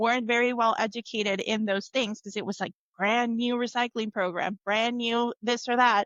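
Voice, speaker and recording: A woman with a Spanish accent speaks at a moderate pace and a fairly high pitch. Her intonation is monotone and flat. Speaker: tech manager. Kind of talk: interview.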